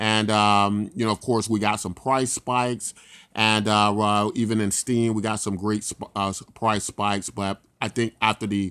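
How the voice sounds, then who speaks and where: A man with a fairly low pitch and monotone, flat intonation speaks at a moderate pace in a very clean recording with a silent background, dry and close with no echo. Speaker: crypto YouTuber. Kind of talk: screen-recorded market analysis. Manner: hesitant, many fillers.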